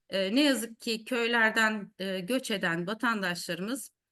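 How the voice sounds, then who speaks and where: Against a quiet background, a woman with a bright, sharp tone speaks at a moderate pace. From Turkey, Eskişehir. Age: 50s. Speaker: mayor. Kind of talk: speech. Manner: hesitant fillers.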